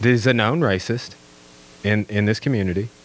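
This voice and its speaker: A fairly quick pace in a man's normal speaking voice, pitched fairly low. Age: 30s. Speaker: history teacher and podcaster. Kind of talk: casual chat.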